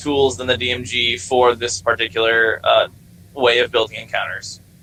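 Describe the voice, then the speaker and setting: A man speaks over noticeable background noise. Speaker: gaming server admin running a workshop. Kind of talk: online workshop talk. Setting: voice chat. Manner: fast; rambling with many fillers.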